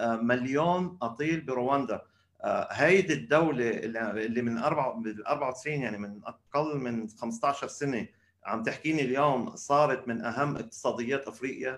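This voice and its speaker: A man with an unremarkable speaking voice talks at a medium pitch and a fairly slow pace. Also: ordinary pitch variation. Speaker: podcast host. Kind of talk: interview. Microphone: weak internet connection.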